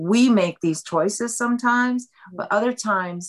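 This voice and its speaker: A woman with an ordinary speaking voice, lively intonation and a fairly slow pace. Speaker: author. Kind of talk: interview about a book.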